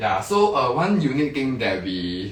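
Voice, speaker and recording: A man talks at a fairly low pitch. There is audible room echo. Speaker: interior designer. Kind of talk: live-stream home tour walkthrough. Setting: livestream inside a condo. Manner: fast; casual, filler-heavy.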